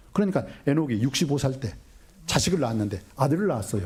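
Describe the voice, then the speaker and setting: A man with a medium-pitched voice talks at a moderate pace. His tone is animated. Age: 60s. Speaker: pastor. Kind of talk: sermon.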